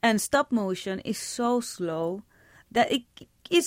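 On a very clean recording with a silent background, a woman with a Spanish accent speaks at a fairly high pitch with ordinary pitch variation. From Puerto Rico. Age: 40s. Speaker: filmmaker. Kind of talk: interview.

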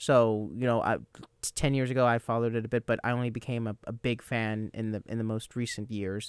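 At a fairly quick pace, a man speaks in a flat monotone at medium pitch, the sound dry and close with no echo. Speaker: soccer radio show host. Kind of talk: casual sports panel chat. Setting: radio studio.

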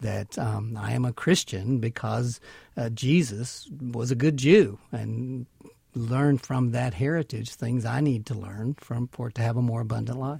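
A man's somewhat breathy, dark, mellow voice at medium pitch, in a Southern US accent, with a moderate pace and ordinary pitch variation, on a very clean recording with a silent background. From Mississippi. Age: 50s. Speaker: minister. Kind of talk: interview. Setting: studio.

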